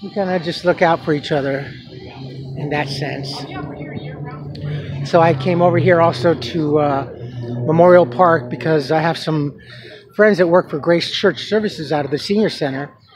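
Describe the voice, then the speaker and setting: The moderate-paced speech has long, frequent pauses and a dry sound with no echo, with noticeable background noise behind it. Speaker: vlogger. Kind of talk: casual vlog chat. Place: market. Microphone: phone near.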